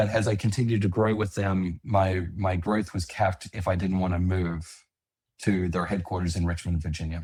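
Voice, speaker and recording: On a very clean recording with a silent background, a man with an Australian accent speaks at a fairly quick pace in a very deep, low pitch, somewhat breathy, with fairly even intonation. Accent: Australian, noticeable. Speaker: landscaping business owner. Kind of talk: interview.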